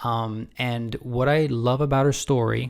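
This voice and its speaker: There is a very clean recording with a silent background. A man with a medium pitch uses a normal speaking voice at a fairly slow pace. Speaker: channel host introducing a guest story. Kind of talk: casual video introduction.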